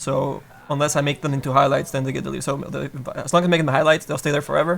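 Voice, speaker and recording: Over faint background music, a man with a fairly high voice speaks at a very fast pace. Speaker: 3D sculpting livestreamer. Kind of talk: live tutorial stream. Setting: livestream.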